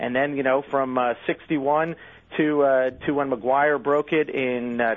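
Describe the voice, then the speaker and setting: A man with a plain, everyday voice, a fairly high pitch, ordinary pitch variation, a fairly slow pace and an American accent. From US Northeast. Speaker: magazine editor. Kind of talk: interview.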